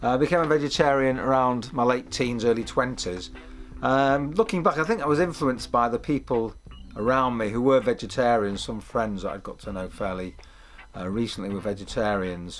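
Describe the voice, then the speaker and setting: Music plays in the background as a man with a Mancunian accent talks fairly quickly, his pitch varying in an ordinary way. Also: medium pitch for a man. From northern England, Manchester. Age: 60s. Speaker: documentary interviewee. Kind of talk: interview testimony. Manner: halting, many fillers.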